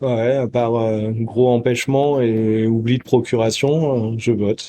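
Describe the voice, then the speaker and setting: A man's dark, mellow tone at medium pitch, monotone, flat intonation and a very slow pace. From France, Creuse. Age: 40s. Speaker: interviewee, citizen. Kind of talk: street interview. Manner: hesitant, many fillers.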